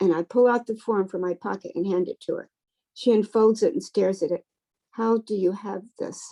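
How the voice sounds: This is a natural reading voice with ordinary pitch variation over a quiet background.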